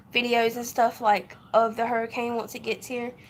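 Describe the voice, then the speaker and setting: A woman in a Southern US accent speaks with a fairly high pitch at a fairly slow pace. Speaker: vlogger. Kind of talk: casual vlog update.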